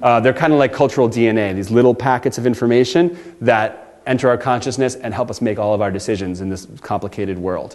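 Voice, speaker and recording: Hardly any pauses break up this man's speech, delivered at a very fast pace. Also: medium pitch for a man, ordinary pitch variation. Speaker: designer and storyteller giving a talk. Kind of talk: workshop presentation. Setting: workshop with audience.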